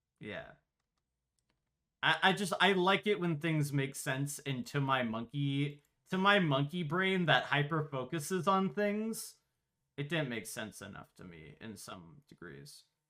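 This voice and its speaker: In a very clean recording with a silent background, a man with a fairly high pitch and a bright, sharp tone speaks at a fairly slow pace, with very wide pitch swings and big swings in loudness. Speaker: streamer and podcast host. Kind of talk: casual chat. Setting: live stream. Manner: animated.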